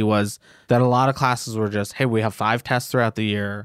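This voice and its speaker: With a plain, everyday voice, a man talks at a fairly quick pace in a very clean recording with a silent background, the sound dry and close with no echo. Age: 20s. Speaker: podcaster. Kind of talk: casual chat.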